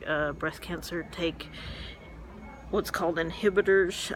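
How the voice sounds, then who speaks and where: Woman with a Southern US accent and a fairly low pitch, at a moderate pace, with noticeable background noise. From Memphis, Tennessee. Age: 40s. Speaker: metastatic breast cancer patient. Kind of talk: casual vlog to camera. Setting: medical clinic.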